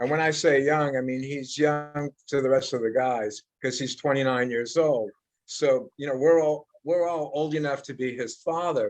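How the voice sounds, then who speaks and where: At a moderate pace, a man with an unremarkable speaking voice talks at a fairly high pitch with fairly even intonation. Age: 60s. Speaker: heavy metal guitarist. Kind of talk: interview.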